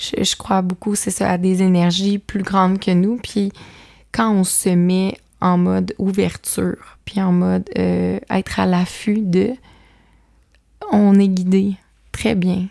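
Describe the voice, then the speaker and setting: A woman at medium pitch, her loudness very even, with long, frequent pauses, on a very clean recording over a silent background. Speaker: author and mother of five. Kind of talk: podcast interview. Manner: animated.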